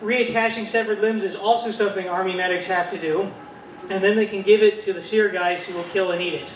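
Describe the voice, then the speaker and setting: Through noticeable background noise, a man with an American accent talks at a high pitch and fairly quick pace in a monotone, flat intonation. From rural West Virginia. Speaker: comedian. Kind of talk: stand-up. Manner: halting.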